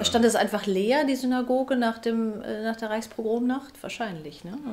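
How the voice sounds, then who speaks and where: This woman has a fairly high voice and speaks at a moderate pace. Her pitch moves in an ordinary way. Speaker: radio and TV author and presenter. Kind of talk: interview questions. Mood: calm, attentive, gentle. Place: home room.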